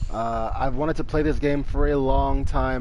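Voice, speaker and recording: Through audible room echo and noticeable background noise, a man speaks at a moderate pace. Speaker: gaming streamer. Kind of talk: gameplay commentary. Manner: soft-spoken.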